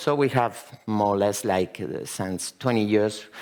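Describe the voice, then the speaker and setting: Speaking with a Spanish accent, a man keeps a moderate pace. His pitch variation is ordinary. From Spain. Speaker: company founder presenting at a conference. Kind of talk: conference presentation. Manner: halting, many fillers.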